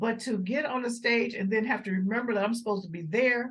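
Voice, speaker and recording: Somewhat breathy, a woman speaks at a fairly quick pace with ordinary pitch variation. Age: 60s. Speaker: jazz vocalist and arts organizer. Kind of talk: casual interview. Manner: animated.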